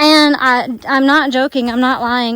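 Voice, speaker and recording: Through noticeable background noise, a woman with a Southern US accent speaks at a very slow pace, her high pitch carrying fairly even intonation. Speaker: travel vlogger. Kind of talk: vlog narration while hiking. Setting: outdoors on a forest walking track. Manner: halting, many fillers and restarts.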